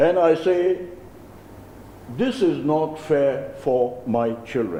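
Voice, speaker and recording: In a Naga accent, a man speaks at a very slow pace with lively intonation. Room echo is audible. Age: 70s. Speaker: community leader. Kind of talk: press conference speech. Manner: formal.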